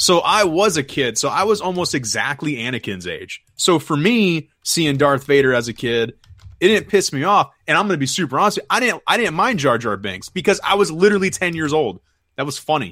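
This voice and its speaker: Over a silent background in a very clean recording, a man talks at a fairly quick pace with a fairly high pitch, a bright, sharp tone, vocal fry and very wide pitch swings. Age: 30s. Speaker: podcast co-host. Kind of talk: casual chat.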